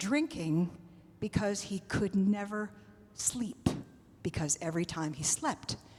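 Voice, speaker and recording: A woman's medium-pitched voice with lively intonation at a very slow pace. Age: 70s. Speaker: retired army officer, mission ministry leader. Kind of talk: church presentation.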